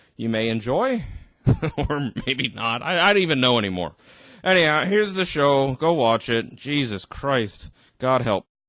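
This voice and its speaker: In a very clean recording with a silent background, a man with a fairly high pitch and a bright, sharp tone talks at a moderate pace with very wide pitch swings. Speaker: reaction video commentator. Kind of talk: reaction commentary. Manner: animated.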